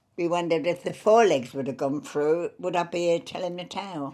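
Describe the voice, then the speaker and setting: A woman speaks with a London accent in a very deep, low pitch. Her tone is dark and mellow, with ordinary pitch variation. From Fulham, London. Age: 80s+. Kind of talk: interview answer.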